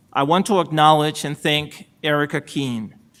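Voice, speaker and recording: A man with a Salvadoran accent, a fairly high pitch, and a moderate pace, on a very clean recording with a silent background. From El Salvador. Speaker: supreme court justice. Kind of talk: ceremonial acceptance speech. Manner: formal.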